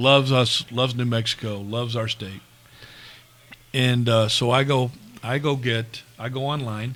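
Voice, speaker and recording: A man speaks at a medium pitch in a monotone, flat way. Long, frequent pauses break up his speech. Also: moderate pace. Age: 60s. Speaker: college baseball coach. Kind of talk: casual chat. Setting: bar, live stream.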